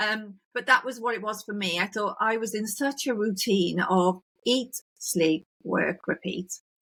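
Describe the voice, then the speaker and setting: This woman talks in a fairly high pitch with a British accent. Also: ordinary pitch variation, fairly slow pace. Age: 60s. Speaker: podcast host. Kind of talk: casual interview chat.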